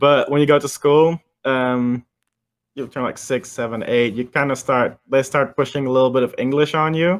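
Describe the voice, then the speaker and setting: Moderate in pace, a man with a slight Dutch-American accent talks at medium pitch with fairly even intonation. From Netherlands, near Amsterdam. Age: 20s. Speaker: music producer. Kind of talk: casual interview chat.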